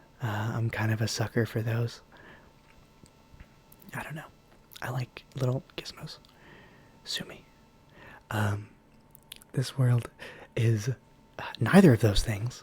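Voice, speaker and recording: A soft-spoken voice moves at a fairly slow pace, broken by long, frequent pauses. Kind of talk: casual ASMR rambling. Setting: home microphone with slight buzzing.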